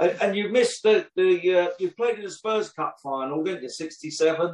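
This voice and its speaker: In a London accent, a man talks at a moderate pace with a high pitch. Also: ordinary pitch variation. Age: 60s. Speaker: podcast host. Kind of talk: interview.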